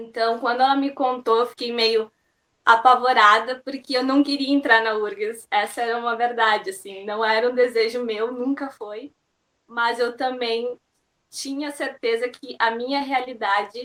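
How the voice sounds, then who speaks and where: A woman talks at a fairly slow pace in a high pitch. Her intonation stays fairly even. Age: 20s. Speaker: university student. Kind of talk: interview.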